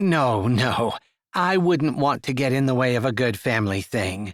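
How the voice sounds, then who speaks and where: Doing a put-on character voice, a man at medium pitch delivers lively intonation at a moderate pace. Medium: read story.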